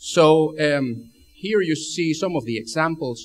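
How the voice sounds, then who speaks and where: A man speaks in an Argentine accent with ordinary pitch variation. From Argentina. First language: Spanish. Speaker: spacesuit engineer. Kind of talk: lecture. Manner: halting, many fillers and repeats.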